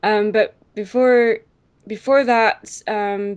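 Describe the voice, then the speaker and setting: A woman speaks in a Scottish accent with a fairly high pitch. The background is quiet. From Scotland. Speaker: YouTube reviewer and artist. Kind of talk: casual interview. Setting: video call. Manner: hesitant, many fillers.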